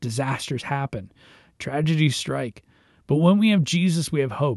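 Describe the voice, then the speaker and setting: A man speaks in a normal speaking voice with ordinary pitch variation. The background is quiet. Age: 30s. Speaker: youth minister and devotional podcast host. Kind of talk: devotional talk, partly reading a blog post aloud.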